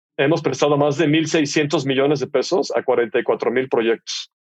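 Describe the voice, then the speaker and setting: A man with an unremarkable speaking voice and fairly high pitch talks at a fairly slow pace. His intonation stays fairly even, in a dry, close sound with no echo. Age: 50s. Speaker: entrepreneur, fintech CEO. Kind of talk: casual interview conversation. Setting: studio.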